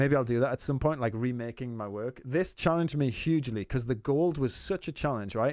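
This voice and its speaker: On a very clean recording with a silent background, a man of medium pitch talks at a very fast pace with lively intonation. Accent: Geordie. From Newcastle, northern England. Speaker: artist streamer giving feedback. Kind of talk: live stream chat.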